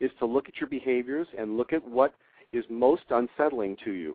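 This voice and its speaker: At a fairly quick pace, a man talks with a medium pitch in a normal speaking voice. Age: 60s. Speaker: fitness trainer and author. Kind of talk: interview.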